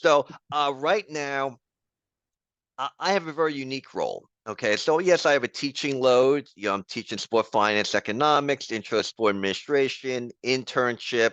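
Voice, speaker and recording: A man with a New York accent, medium pitch and ordinary pitch variation at a moderate pace, in a dry, close sound with no echo and a quiet background. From New York City, the Bronx. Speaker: professor. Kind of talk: interview.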